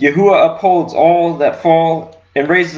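This man has an ordinary speaking voice, pitched fairly high. He talks at a fairly slow pace with fairly even intonation. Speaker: congregation member reading scripture. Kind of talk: scripture reading aloud. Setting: online church service. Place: home room. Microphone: webcam.

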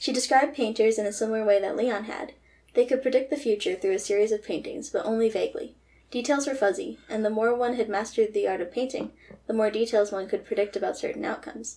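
At a very fast pace, a woman with a fairly high pitch and a dark, mellow tone speaks with ordinary pitch variation. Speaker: graduate student novelist. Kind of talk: reading aloud. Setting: video call. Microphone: camera far.

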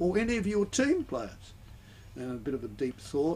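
Over light background noise, a man with an Australian accent speaks at a moderate pace, somewhat breathy and with lively intonation. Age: 70s. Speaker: retired school principal. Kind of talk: radio interview. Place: booth. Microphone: studio mic.

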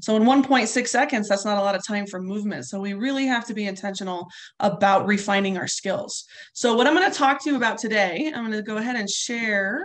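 Against a quiet background, a woman with a General American accent talks at a fairly quick pace with a fairly high pitch and ordinary pitch variation. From Colorado. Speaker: softball coach. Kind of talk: webinar instruction. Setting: video webinar. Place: home room. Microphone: webcam.

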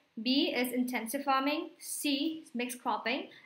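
Audible room echo surrounds a woman's high-pitched voice with a bright, sharp tone. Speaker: online exam tutor. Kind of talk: lecture.

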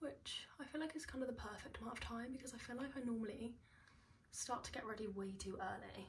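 A woman with a high pitch talks at a very fast pace with ordinary pitch variation over light background noise. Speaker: beauty vlogger. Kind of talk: casual get-ready-with-me chat. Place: home room. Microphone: phone near.

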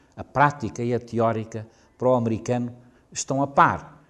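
A man speaks with a European Portuguese accent. His voice sits at a medium pitch. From Portugal. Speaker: professor. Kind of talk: lecture. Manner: halting.

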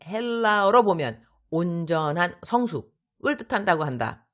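A woman speaks with a fairly low pitch and very wide pitch swings. The recording is very clean with a silent background. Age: 50s. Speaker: missionary. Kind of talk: devotional reading. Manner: warm, with frequent giggles.

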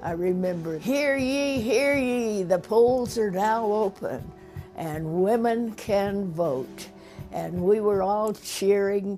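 Faint music plays behind speech in an American accent delivered at a very slow pace. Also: woman. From United States. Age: 80s+. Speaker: elderly voter and former convention delegate. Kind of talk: interview answer. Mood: proud, reminiscing. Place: home room. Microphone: lapel.

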